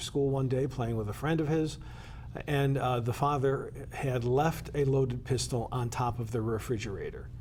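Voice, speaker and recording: Amid audible room echo, a man with an American accent speaks with fairly even intonation. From Connecticut (Danbury). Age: 70s. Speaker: state legislator. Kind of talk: interview. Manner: halting, many fillers.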